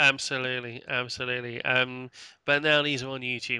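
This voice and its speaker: Over a quiet background, a man speaks in a bright, sharp tone at a medium pitch. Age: middle-aged. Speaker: webcast host. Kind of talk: casual chat. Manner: halting, many fillers.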